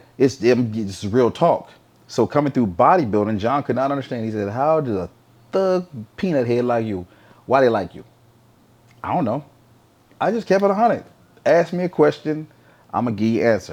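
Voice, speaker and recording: A loud man speaks at a medium pitch in an animated tone, with very wide pitch swings. He keeps a moderate pace but leaves long, frequent pauses. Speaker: retired professional bodybuilder. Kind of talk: casual chat.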